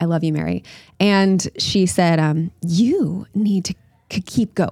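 A woman speaks with an American accent in an unremarkable speaking voice. Her pitch is fairly low, with ordinary pitch variation. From Florida. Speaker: beauty pageant winner and life coach. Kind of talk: podcast interview.

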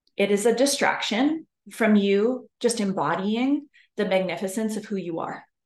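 Moderate speed and mid-range pitch in a woman's plain, everyday voice. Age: 30s. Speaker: spiritual leadership coach. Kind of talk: motivational monologue.

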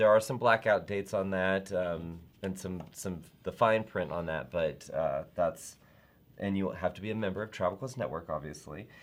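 On a very clean recording with a silent background, a man with an American accent uses an ordinary speaking voice, fairly low in pitch, at a moderate pace with ordinary pitch variation. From US South. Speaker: travel network host. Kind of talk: casual live chat show. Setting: live video stream.

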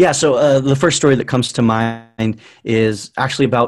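A man with a plain, everyday voice speaks at a moderate pace with fairly even intonation. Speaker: social media marketing expert. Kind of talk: interview.

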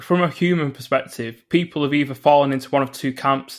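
Here a man speaks with a northern English accent and a fairly high pitch. His intonation is fairly even, on a very clean recording with a silent background. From northern England. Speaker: environmental psychologist. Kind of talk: interview.

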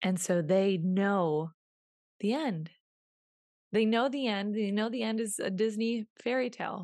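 A woman speaks at a fairly slow pace with a medium pitch, ordinary pitch variation, and long, frequent pauses. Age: 20s. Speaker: podcast host and women's confidence coach. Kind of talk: casual solo podcast monologue. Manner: animated.

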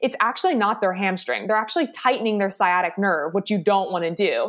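In a plain, everyday voice with an American accent, a woman talks fairly quickly at a fairly high pitch with lively intonation. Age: 30s. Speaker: physical therapist. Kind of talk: interview, educational explanation.

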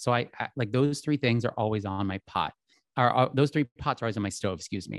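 In a plain, everyday voice, a man with an American accent talks at a medium pitch with ordinary pitch variation, on a very clean recording with a silent background. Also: dry, close sound with no echo. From US Northeast, outside Philadelphia. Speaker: fashion and lifestyle influencer. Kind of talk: casual interview chat.

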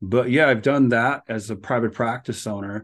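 With an American accent and a normal speaking voice, a man talks at a moderate pace in a fairly low pitch with ordinary pitch variation against a quiet background. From US Upper Midwest (Minnesota/North Dakota border). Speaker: author and mindset coach, therapist in private practice. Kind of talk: casual interview.

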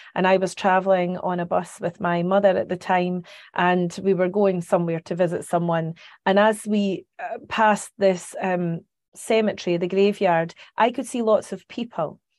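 Over a quiet background, a woman speaks with a Scottish accent at a medium pitch. Her intonation is fairly even and her pace moderate. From Scotland, Carnoustie near Dundee. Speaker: psychic medium. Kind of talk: interview.

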